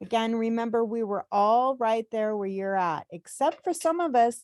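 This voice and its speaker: In a very clean recording with a silent background and a dry, close, echo-free sound, a woman uses an ordinary speaking voice with a fairly high pitch and lively intonation. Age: 60s. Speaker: travel agent trainer. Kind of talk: tutorial. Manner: casual, encouraging.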